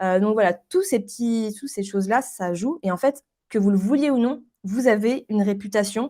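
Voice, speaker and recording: Her voice at medium pitch, a woman talks at a fairly quick pace with lively intonation and a dark, mellow tone, on a very clean recording with a silent background. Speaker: branding specialist. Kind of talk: interview. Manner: fast.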